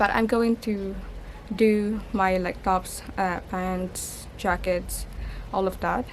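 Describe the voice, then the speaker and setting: A woman speaks in a Filipino accent with monotone, flat intonation. Audible room echo is present. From Philippines. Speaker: lifestyle vlogger. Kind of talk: casual vlog. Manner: halting.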